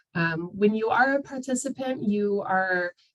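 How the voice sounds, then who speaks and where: This woman has an ordinary speaking voice, medium in pitch, with ordinary pitch variation and a moderate pace. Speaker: outreach coordinator presenting a training webinar. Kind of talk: webinar presentation. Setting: video call. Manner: many filler words (um, uh).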